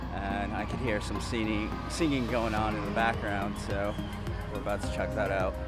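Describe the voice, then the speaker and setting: A man speaks over loud music in the background. The sound is dry, with no echo. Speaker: neighborhood tour vlogger. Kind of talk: casual vlog chat. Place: street. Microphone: phone near.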